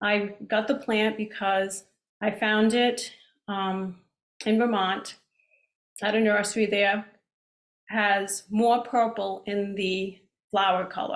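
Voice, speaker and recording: With a Rhode Island accent, a woman speaks at a very slow pace in a monotone, flat intonation, with long, frequent pauses. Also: medium pitch for a woman. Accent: Rhode Island accent, stronger than usual now. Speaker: plant society speaker. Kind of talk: lecture. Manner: casual, hesitant with ums.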